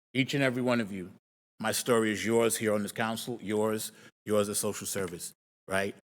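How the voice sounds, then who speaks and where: In a normal speaking voice, a man talks at a fairly quick pace with fairly even intonation and fairly low pitch. The recording is very clean and the background silent. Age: 60s. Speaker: public commenter. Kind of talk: public comment testimony. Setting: county board meeting.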